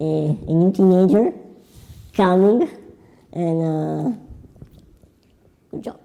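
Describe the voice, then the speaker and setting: The speaker has a non-native accent and talks at a very slow pace with long, frequent pauses. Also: woman. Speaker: workshop moderator. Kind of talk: event moderation. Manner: halting.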